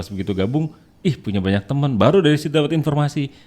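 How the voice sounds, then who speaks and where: Lively intonation marks this man's dark, mellow voice at a medium pitch. He talks at a very fast pace. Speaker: voice-over and dubbing artist. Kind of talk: casual chat.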